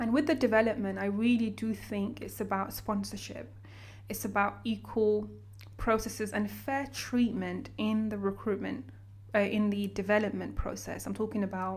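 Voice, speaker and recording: This woman speaks with a London accent. Her pace is fairly slow. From London, raised from age nine after childhood in Sudan. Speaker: banker and coffee brand founder. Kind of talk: casual interview. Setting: in person.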